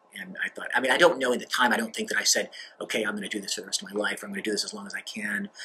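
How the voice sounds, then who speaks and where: Talking at a very fast pace, a man speaks with an American accent and big swings in loudness. Light background noise is present. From grew up abroad in a US diplomatic family. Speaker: diplomat. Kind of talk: interview monologue. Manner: halting, many fillers. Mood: relaxed, reflective, light humor. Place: office.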